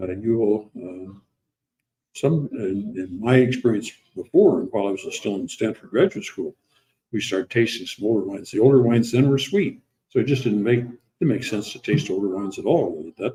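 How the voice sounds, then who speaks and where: At a fairly quick pace, a man speaks in a somewhat breathy, dark and mellow voice at a medium pitch, with ordinary pitch variation. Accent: American. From US Midwest, South Dakota. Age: 80s+. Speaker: winery founder. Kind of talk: casual conversation. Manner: halting, many fillers.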